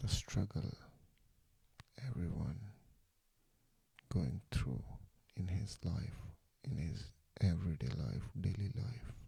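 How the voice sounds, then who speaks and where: Whispering at a very slow pace, the soft-spoken voice has a gentle tone and long, frequent pauses. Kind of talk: ASMR sleep relaxation talk, soft-spoken guidance. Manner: soft-spoken, gentle, lo-fi whisper.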